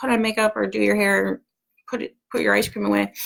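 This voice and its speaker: A woman's voice, very clean recording, silent background. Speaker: homeschool community organizer. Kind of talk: live video announcement. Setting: live video at home. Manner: animated.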